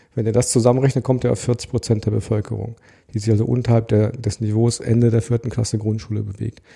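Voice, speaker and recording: Over a silent background in a very clean recording, a man talks at a fairly quick pace with a medium pitch and a dark, mellow, somewhat breathy tone. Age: 40s. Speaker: adult education project worker. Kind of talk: interview.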